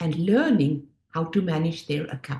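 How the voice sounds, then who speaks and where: A woman speaks in a South African accent with a somewhat breathy voice. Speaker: finance education business owner, former Wall Street worker. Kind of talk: presentation.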